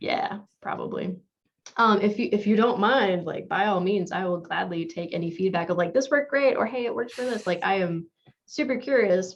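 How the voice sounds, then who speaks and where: A woman at medium pitch with lively intonation, a fairly quick pace, and an unremarkable speaking voice. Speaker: conference presenter. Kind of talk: conference Q&A and announcements.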